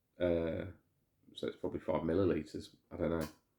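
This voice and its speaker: A man's very deep, low, dark and mellow voice with an English accent, somewhat breathy and monotone, with flat intonation. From England. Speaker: vlogger. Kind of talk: personal storytelling monologue. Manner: halting, many fillers and repetitions.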